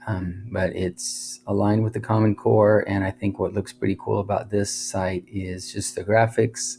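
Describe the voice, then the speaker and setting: A man speaks at a fairly low pitch with vocal fry. His intonation is fairly even and his pace fairly slow. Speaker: teacher reviewing educational websites. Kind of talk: screen-recorded review narration. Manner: monotone; loudness drops then rises again in cycles.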